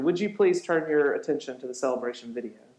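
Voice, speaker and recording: A man's speech carries audible room echo. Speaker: pastor. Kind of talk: sermon. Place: church.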